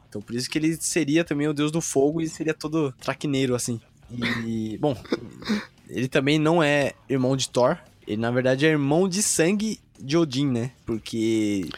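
Over noticeable background noise, a man talks at a moderate pace. His pitch variation is ordinary. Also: fairly high pitch for a man. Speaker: podcast host. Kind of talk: casual chat.

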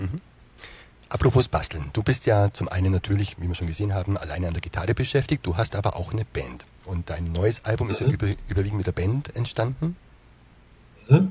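A man's fairly low pitch, somewhat breathy, with a dark, mellow tone and lively intonation. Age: 40s. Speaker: web show host. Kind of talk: interview.

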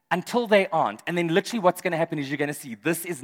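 A man speaks with lively intonation and noticeable vocal fry. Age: 40s. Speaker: pastor. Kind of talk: sermon. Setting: church service with live audience.

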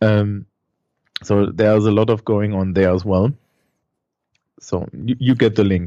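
The speaker has a German accent and a fairly slow pace. Pauses are long and frequent, and the intonation stays fairly even. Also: man, fairly low pitch for a man. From Germany. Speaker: schoolteacher. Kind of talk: casual interview.

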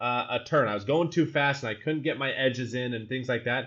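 This man has an unremarkable speaking voice with an American accent. He talks at a fairly quick pace with ordinary pitch variation. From Utah, US. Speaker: solutions architect and teacher. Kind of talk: casual interview. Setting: living in Amsterdam.

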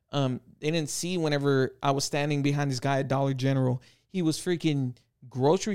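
A man with a plain, everyday voice, fairly high-pitched, at a fairly quick pace with fairly even intonation. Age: 30s. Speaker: tattoo shop and gym owner. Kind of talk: casual chat.

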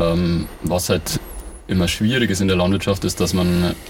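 Noticeable background noise surrounds a man with a very deep, low pitch who speaks at a moderate pace. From Bavaria, Ingolstadt. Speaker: organic farmer. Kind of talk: casual interview.

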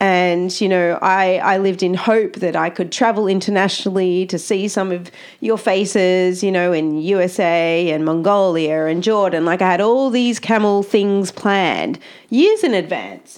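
Speaking in an Australian accent, the woman's voice sits at a medium pitch. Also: moderate pace. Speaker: camel educator and podcast host. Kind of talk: casual monologue. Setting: home office on farm. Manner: animated.

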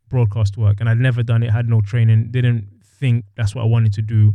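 Somewhat breathy and fairly low in pitch, a man speaks with a dark, mellow tone and a monotone, flat intonation. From London, England. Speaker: former pro footballer and club broadcaster. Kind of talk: interview.

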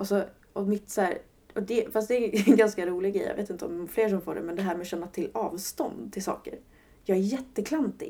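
At a fairly quick pace, a woman talks in a normal speaking voice of medium pitch, with ordinary pitch variation. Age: 20s. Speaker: podcast guest living with PMDS. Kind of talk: personal testimony interview.

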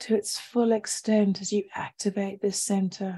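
Her dark, mellow, soothing, gentle tone comes out somewhat breathy at a medium pitch and a fairly slow pace. This woman's intonation is monotone and flat, and the sound is dry and close with no echo. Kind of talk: guided meditation. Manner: slow, soft and soothing; gentle, calm and unhurried.

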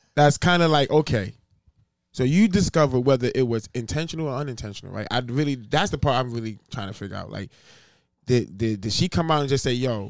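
Over a very clean recording with a silent background, a man with a New York accent talks at a moderate pace. His medium-pitched voice carries lively intonation. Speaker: podcast co-host. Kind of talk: casual banter podcast.

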